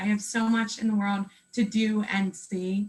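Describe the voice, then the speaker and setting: Very slowly, a woman speaks with an American accent. Her voice is somewhat breathy. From Pennsylvania, USA. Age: 20s. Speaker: cancer patient. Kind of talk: interview answer. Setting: video call.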